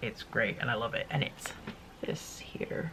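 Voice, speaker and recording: Background noise is noticeable here. A woman talks at a moderate pace. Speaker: YouTuber sharing monthly favourites. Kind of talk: casual chat.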